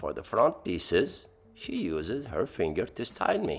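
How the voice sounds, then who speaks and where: Fairly slow speech from a man, music underneath. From Lebanon. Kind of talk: playful tutorial voiceover. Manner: humorous.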